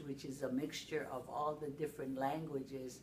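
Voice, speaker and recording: A woman at a fairly slow pace with fairly even intonation, over noticeable background noise. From Hawaii, Honolulu. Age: 70s. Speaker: interviewee. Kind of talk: oral history interview.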